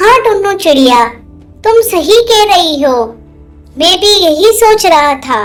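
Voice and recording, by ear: A cartoonish character voice talks at a fairly slow pace. Faint music plays in the background.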